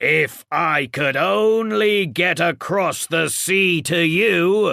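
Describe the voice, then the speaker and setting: In a put-on character voice, a man growls in a raised, projected voice, high-pitched and very slow. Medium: read story.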